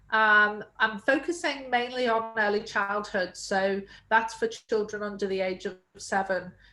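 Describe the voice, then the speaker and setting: Speaking at a fairly slow pace, a woman with a British accent uses a fairly high pitch, ordinary pitch variation and a bright, sharp tone. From UK. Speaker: early childhood education entrepreneur. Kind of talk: webinar interview.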